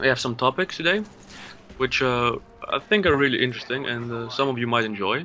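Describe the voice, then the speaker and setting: With music in the background, a man of medium pitch talks with long, frequent pauses. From Greece. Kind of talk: gaming commentary.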